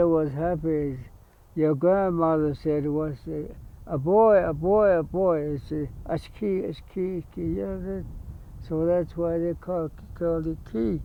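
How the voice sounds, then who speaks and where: A man's high voice with a Southwestern US accent, ordinary pitch variation and a fairly slow pace. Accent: Navajo-accented English. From Navajo reservation, New Mexico. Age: 80s+. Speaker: war veteran. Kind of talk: oral history interview. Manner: halting.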